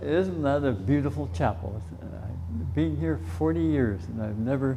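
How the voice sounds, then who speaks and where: A man with a Canadian accent at a moderate pace, lively in intonation, with audible room echo. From Canada, Saskatchewan. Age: 90s. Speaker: war veteran. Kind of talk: interview and school talk.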